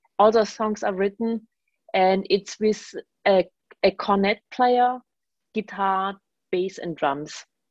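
A woman with a German accent at a very slow pace, with long, frequent pauses and ordinary pitch variation. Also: medium pitch for a woman, dry, close sound with no echo. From Germany. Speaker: jazz bass player and composer. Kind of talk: radio interview.

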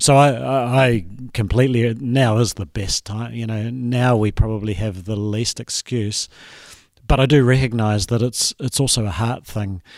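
The recording is very clean, and the background is silent. A normal speaking voice holds fairly even intonation at a moderate pace. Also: man, medium pitch for a man. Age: middle-aged. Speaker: pastor. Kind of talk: casual discussion.

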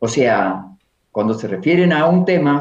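At a fairly slow pace, a man speaks at a medium pitch with very wide pitch swings. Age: 70s. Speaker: poet and singer-songwriter. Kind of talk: interview.

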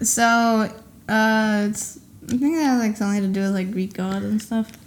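A woman mumbles in a put-on character voice pitched fairly high. Her intonation stays fairly even at a moderate pace.

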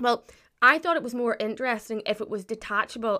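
Speaking very fast with a Northern Irish accent, a woman with a fairly high pitch, ordinary pitch variation and a bright, sharp tone comes through on a very clean recording with a silent background. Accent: Northern Irish (County Antrim). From Northern Ireland, Glens of Antrim. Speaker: friend of the host. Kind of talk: casual chat.

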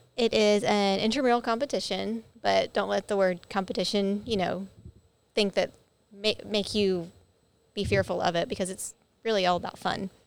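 A plain, everyday voice moves at a moderate pace with fairly even intonation over a very clean recording with a silent background. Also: woman, medium pitch for a woman. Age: 30s. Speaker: head of operations at a gym. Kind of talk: casual chat. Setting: studio with video. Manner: laughs often.

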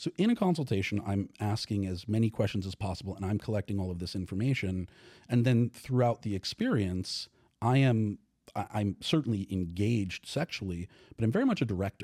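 An American accent at a fairly quick pace, with a dark, mellow tone and ordinary pitch variation, dry and close with no echo on a very clean recording with a silent background. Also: man, fairly low pitch for a man. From New York. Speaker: author and sex and relationship educator. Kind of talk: casual interview. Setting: studio.

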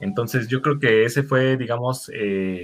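Ordinary pitch variation from a man at a fairly slow pace. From Mexico, northern State of Mexico. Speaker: guest, team fan. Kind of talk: casual sports chat.

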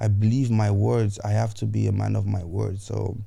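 With a dark, mellow tone, a man speaks in a somewhat breathy, fairly low voice with ordinary pitch variation. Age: 30s. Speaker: podcast host. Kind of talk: motivational monologue. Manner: animated.

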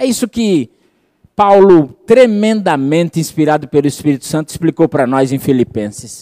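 A man with a Brazilian accent speaks at a moderate pace and fairly high pitch, using very wide pitch swings. His tone is warm, dark and mellow, and the sound is dry and close with no echo. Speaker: preacher. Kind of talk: sermon. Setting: church with congregation. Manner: warm, fervent preaching, rhetorical questions to the congregation.

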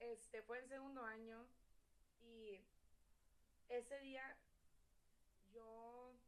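A woman talks with monotone, flat intonation and long, frequent pauses. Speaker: podcast guest. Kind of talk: casual chat.

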